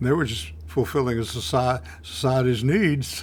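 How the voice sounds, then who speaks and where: Vocal fry runs through this man's medium-pitched voice. He speaks with a Middle Tennessee accent. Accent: US Southern (Middle Tennessee). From Nashville, Tennessee. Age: 90s. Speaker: retired businessman recalling old times. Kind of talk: oral history interview.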